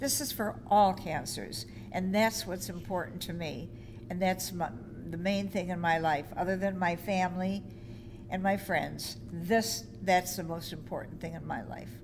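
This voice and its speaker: Audible room echo surrounds a woman with a fairly low pitch and vocal fry. She speaks fairly slowly, her intonation lively. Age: 80s+. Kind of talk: interview testimony. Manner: halting, repeats words.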